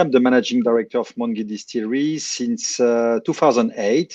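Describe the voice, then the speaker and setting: A man with a French accent speaks at a moderate pace with ordinary pitch variation. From France. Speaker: distillery managing director. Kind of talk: live stream interview.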